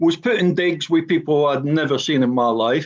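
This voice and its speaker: A man with a Glaswegian accent. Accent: Glaswegian Scottish. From Scotland, Glasgow (Gorbals). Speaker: former professional footballer. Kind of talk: personal statement in podcast. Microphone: frozen video connection.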